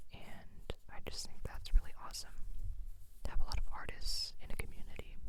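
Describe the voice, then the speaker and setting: Someone is whispering at a fairly quick pace. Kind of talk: ASMR whisper talk. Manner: whispered.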